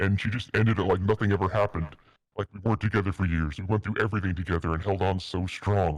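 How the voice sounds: What you hear is a natural reading voice.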